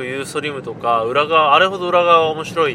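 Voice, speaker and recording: Ordinary pitch variation and a very fast pace, with noticeable background noise. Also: man. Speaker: podcast host. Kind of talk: casual monologue. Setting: in a car.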